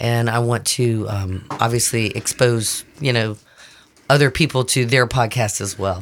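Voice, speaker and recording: Her voice is very deep and low for a woman, delivered at a fairly slow pace with fairly even intonation. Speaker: podcast host. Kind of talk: casual chat.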